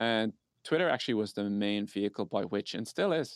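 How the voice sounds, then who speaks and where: A man with an Irish accent at very fast pace, fairly low pitch and ordinary pitch variation, dry and close with no echo, on a very clean recording with a silent background. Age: 30s. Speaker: tech startup co-founder. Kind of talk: casual interview. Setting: call.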